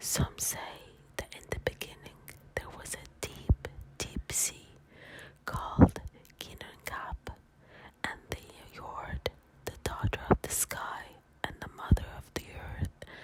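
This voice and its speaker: A man whispers in a calm tone at a very slow pace, with long, frequent pauses. His loudness swings a lot over noticeable background noise. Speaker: ASMR content creator. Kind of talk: soft-spoken ASMR bedtime story reading. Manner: soft-spoken, whispering, calm.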